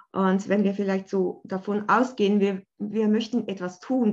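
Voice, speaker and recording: A woman with an unremarkable speaking voice talks at a moderate pace and medium pitch. The background is quiet. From Switzerland, Bern. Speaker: art therapist. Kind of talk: casual interview.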